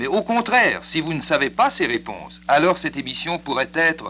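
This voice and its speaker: Lively intonation colors a man's fairly high-pitched voice. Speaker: radio announcer. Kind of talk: radio infomercial. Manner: paternalistic.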